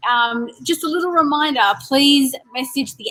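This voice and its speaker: Background music behind a woman speaking at a moderate pace. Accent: Australian. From Australia. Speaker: event host. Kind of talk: webinar hosting. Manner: animated.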